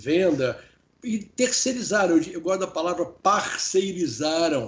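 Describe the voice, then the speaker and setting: A high-pitched man speaks in a Rio de Janeiro accent. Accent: Carioca. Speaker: professor and business consultant. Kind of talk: interview. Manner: halting, many repetitions.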